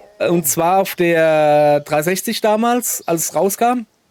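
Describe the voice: Noticeable background noise runs behind a man's high-pitched voice. His pitch varies in an ordinary way.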